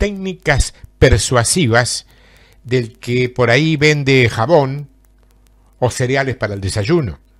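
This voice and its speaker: Very slowly and somewhat breathily, a man speaks at medium pitch with lively intonation. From Argentina, southern Santa Fe province. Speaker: preacher. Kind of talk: sermon.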